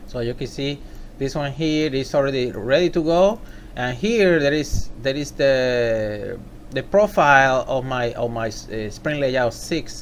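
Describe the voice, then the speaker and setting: Speaking in a Puerto Rican accent, a man with a fairly high pitch talks at a fairly slow pace with lively intonation. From Puerto Rico. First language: Spanish. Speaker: software tutorial maker. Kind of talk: tutorial. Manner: halting.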